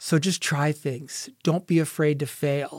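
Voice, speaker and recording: In a very clean recording with a silent background and a dry, close sound with no echo, a man with an American accent and a normal speaking voice talks at a fairly slow pace, with a fairly high pitch and fairly even intonation. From Ohio, US Midwest. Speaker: retail store manager. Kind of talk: interview. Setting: radio studio.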